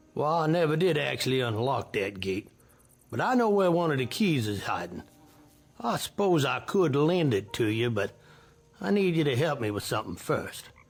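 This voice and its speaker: A put-on, drawling character voice in a Southern US accent, with very wide pitch swings at a moderate pace and faint music in the background. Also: man, medium pitch for a man. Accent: rural Southern. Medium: fan dub. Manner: drawling, folksy.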